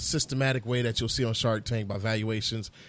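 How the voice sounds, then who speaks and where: Speaking at a fairly quick pace, a man with an American accent has an unremarkable speaking voice and fairly even intonation. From Fort Myers, Florida. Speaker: barbecue sauce business owner. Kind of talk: casual interview chat.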